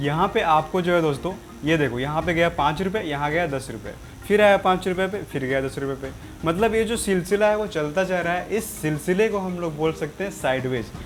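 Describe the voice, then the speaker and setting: Music in the background behind a man's high-pitched voice, moderate in pace with ordinary pitch variation. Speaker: trading educator. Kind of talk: tutorial. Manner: casual, repetitive explaining.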